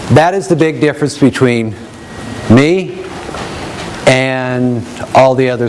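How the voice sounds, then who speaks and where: A man speaks at a very slow pace with long, frequent pauses, in a medium pitch. His intonation is lively, and noticeable background noise is present. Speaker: education program representative. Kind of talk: presentation to an audience. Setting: room with live audience, no microphone. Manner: loud.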